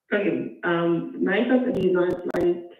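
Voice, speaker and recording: Fairly low-pitched woman's voice with audible room echo. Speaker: caller with a custody case. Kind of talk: call-in question. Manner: soft-spoken; halting.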